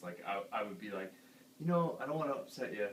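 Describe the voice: Speech moves at a fast pace with big pitch swings. Audible room echo surrounds the voice. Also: man, fairly low pitch for a man.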